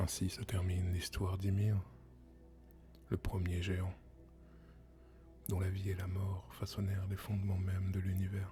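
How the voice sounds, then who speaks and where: The speaker uses a calm tone at a fairly slow pace with long, frequent pauses while music plays in the background. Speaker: ASMR storyteller. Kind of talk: ASMR storytelling, mythology narration. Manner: soft-spoken, calm.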